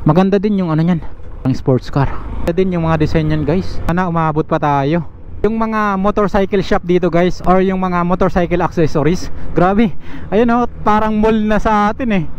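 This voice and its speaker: This man's voice sits high in pitch, with ordinary pitch variation and very even loudness. He keeps a moderate pace over noticeable background noise. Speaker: motovlogger. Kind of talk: motorcycle vlog narration. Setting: riding a motorcycle outdoors. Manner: casual, halting with fillers.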